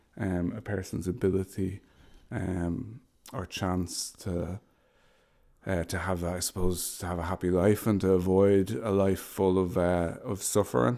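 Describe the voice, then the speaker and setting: Very deep and low, a man's dark, mellow voice carries a Dublin accent at a fairly slow pace with fairly even intonation. The recording is very clean, with a silent background. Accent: Dublin Irish. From Ireland, Dublin. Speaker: homelessness services manager. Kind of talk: podcast interview.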